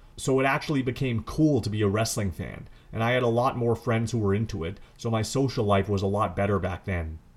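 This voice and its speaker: With a normal speaking voice, a man speaks at medium pitch and a fairly quick pace with ordinary pitch variation, on a very clean recording with a silent background. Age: 30s. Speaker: wrestling podcast host. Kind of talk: solo podcast commentary.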